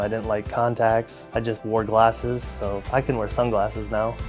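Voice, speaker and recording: Over music in the background, a man speaks at a moderate pace in a fairly low voice. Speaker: LASIK patient. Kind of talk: testimonial interview answer.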